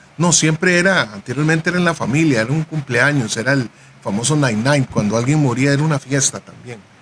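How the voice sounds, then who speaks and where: A man talks very fast with a fairly high pitch. There is noticeable background noise. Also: ordinary pitch variation. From Costa Rica, Jamaican descent. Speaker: musician and researcher. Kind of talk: radio panel discussion.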